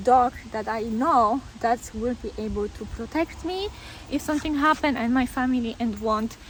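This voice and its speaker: This woman's voice sits fairly high. Her pitch moves in an ordinary way. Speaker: dog owner vlogger. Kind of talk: casual vlog monologue. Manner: conversational with fillers and hesitations.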